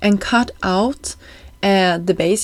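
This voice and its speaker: On a very clean recording with a silent background, a woman speaks in a Swedish accent. Her medium pitch carries fairly even intonation. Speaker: card-making crafter, YouTuber. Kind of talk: craft tutorial voiceover. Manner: casual, with frequent fillers.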